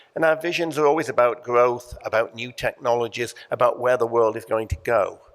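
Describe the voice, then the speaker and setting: His pitch variation is ordinary. The man's voice sits at a medium pitch. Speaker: panelist, certification institute executive. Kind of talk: conference panel presentation. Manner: hesitant, many fillers and repetitions.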